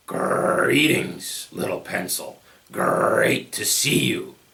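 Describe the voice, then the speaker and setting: Growling and raspy, a man does a put-on character voice at a very slow pace. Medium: read story.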